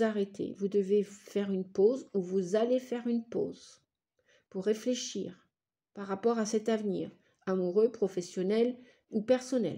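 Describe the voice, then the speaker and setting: A woman at a fairly slow pace with ordinary pitch variation, in a very clean recording with a silent background. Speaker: tarot reader and psychic. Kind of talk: tarot reading monologue. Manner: animated.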